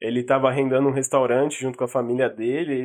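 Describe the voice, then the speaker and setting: The background is quiet as a man talks at a moderate tempo. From São Paulo, Brazil. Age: 20s. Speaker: podcast co-host. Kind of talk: casual chat.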